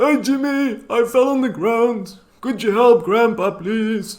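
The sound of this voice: Slowly, a man performs a put-on character voice. His pitch is extremely high.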